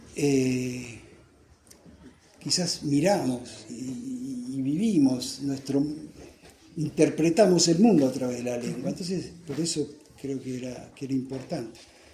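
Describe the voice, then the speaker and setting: Fairly slow speech with long, frequent pauses, ordinary pitch variation, big swings in loudness, and audible room echo. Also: man, fairly high pitch for a man. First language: Italian (speaking Spanish). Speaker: author presenting his book. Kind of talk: book presentation talk. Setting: bookstore event with audience. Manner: halting, repeats words.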